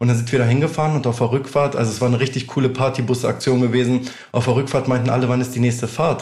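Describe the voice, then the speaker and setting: A man's somewhat breathy voice at medium pitch, very fast pace and fairly even intonation. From northern Germany, near Hannover. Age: 20s. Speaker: music artist manager. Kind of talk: casual interview.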